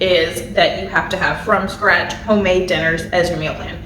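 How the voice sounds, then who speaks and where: Noticeable background noise and audible room echo around a woman talking at a moderate speed. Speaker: family budget and meal planning YouTuber. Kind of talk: casual to-camera tutorial. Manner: rambling with filler words.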